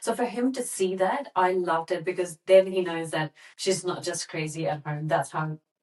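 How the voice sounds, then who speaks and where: Fairly low pitch from a woman, ordinary pitch variation, moderate pace. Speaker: podcast co-host. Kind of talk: casual chat. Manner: animated.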